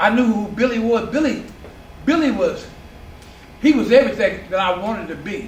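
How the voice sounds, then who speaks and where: Moderate pace in an American accent, with audible room echo. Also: man. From San Diego, California. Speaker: community elder recounting neighborhood history. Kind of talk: oral history interview. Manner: halting.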